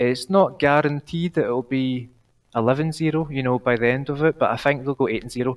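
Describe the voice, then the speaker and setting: In a Glaswegian accent, a man speaks at a fairly quick pace with fairly even intonation, the sound dry and close with no echo. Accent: Glaswegian Scottish. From Glasgow. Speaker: caller. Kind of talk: casual chat. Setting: online call.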